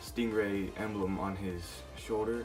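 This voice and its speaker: Soft-spoken, a man with a fairly low pitch and ordinary pitch variation talks with music in the background. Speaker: toy collector, video maker. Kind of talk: casual talk to camera. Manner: quiet, soft-spoken.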